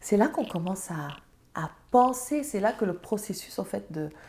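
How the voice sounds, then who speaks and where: A woman with a Senegalese accent, medium pitch, lively intonation and a fairly slow pace. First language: Serer (speaking French). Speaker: entrepreneur and mother. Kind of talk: interview conversation.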